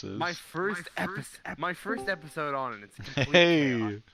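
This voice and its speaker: A man's fairly high voice with very wide pitch swings and big swings in loudness, at a moderate pace, over noticeable background noise. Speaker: podcast guest.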